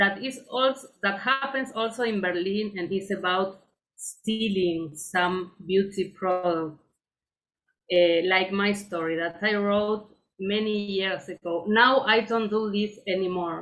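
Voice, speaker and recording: Talking at a fairly slow pace, a woman with a Spanish accent has a medium pitch and ordinary pitch variation. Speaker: poet and writer. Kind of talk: book reading. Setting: online video event. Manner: hesitant, with filler eh.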